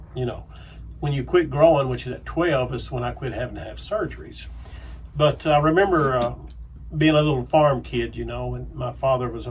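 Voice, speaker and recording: A man with a Southern US accent at a fairly quick pace, big swings in loudness and audible room echo. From Arkansas, US South. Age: 60s. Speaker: pastor. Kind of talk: radio interview.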